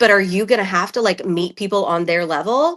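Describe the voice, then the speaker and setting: Bright, sharp tone from a woman with an American accent, at a moderate pace with lively intonation. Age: 30s. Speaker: reality TV contestant and podcaster. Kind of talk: casual interview chat.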